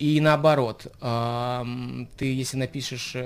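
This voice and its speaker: Fairly even intonation from a man at medium pitch, captured on a very clean recording against a silent background. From Saint Petersburg, Russia. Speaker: rapper. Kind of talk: radio interview.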